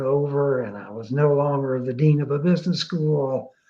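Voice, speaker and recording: Somewhat breathy speech moves at a fairly slow pace. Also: man. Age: 70s. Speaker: retired business school dean, blogger. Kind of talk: interview on live online show. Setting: live online video show.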